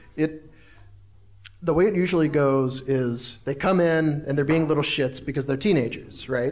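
A man's ordinary speaking voice with an American accent, ordinary pitch variation and a moderate pace. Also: fairly high pitch for a man. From South Carolina. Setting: stage with audience.

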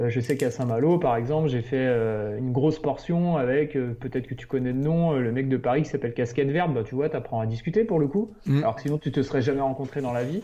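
A man's medium-pitched, dark, mellow voice, very fast with hardly any pauses and ordinary pitch variation. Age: 30s. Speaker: illustrator and trail runner. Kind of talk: casual interview.

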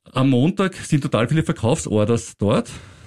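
A man with a medium pitch and vocal fry speaks with lively intonation, the sound dry and close with no echo in a very clean recording against a silent background. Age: 50s. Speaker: finance podcast host. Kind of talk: casual chat.

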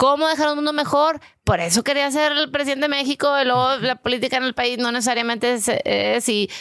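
A woman with a high pitch talks at a very fast pace, her loudness very even and her pitch variation ordinary. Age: 40s. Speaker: real estate investor. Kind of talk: interview.

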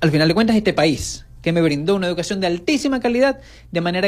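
At a very fast pace, a man speaks in a high voice with lively intonation. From Venezuela, Zulia. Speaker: journalist and regional government official. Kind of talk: radio interview.

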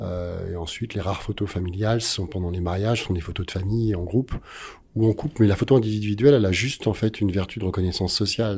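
Over a very clean recording with a silent background, a man speaks very fast in a somewhat breathy, dark, mellow tone at a fairly low pitch with fairly even intonation. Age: 50s. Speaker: photographer. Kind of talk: interview. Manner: halting.

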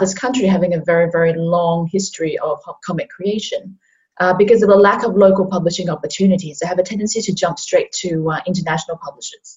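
A woman speaks at a fairly quick pace in a somewhat breathy voice of medium pitch. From Hong Kong. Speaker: comics artist. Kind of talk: casual chat.

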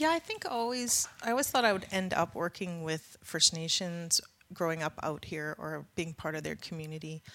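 A woman's bright, sharp voice in a western Canadian accent, fairly low in pitch with ordinary pitch variation, on a very clean recording with a silent background. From northeast British Columbia, Canada. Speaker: First Nation band manager. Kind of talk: interview conversation.

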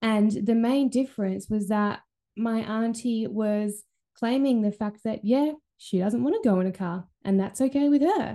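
Against a quiet background, a normal speaking voice moves at a fairly slow pace with ordinary pitch variation. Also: woman, fairly high pitch for a woman. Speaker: holistic healer and podcast host. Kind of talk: pep talk, warm solo monologue. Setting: recording at home with dog nearby. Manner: encouraging, upbeat, chatty.

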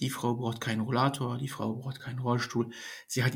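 This man's voice sits at a medium pitch and is somewhat breathy. His intonation stays monotone and flat. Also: very clean recording, silent background. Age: 30s. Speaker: nursing trainee. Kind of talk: casual chat.

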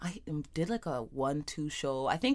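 A woman's very deep, low voice with vocal fry, on a very clean recording with a silent background. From Toronto, Jane and Finch. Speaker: rapper and art facilitator. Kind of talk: casual interview chat.

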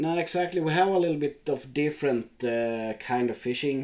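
A man speaks with a Swedish accent and lively intonation. His tone is dark and mellow. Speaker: podcast host. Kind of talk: casual interview.

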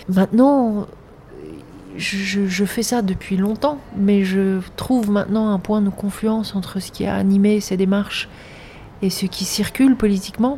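A woman's medium-pitched voice holds fairly even intonation while moving at a fairly slow speed. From grew up in several countries. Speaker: filmmaker and artist. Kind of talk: interview. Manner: halting, frequent repetitions.

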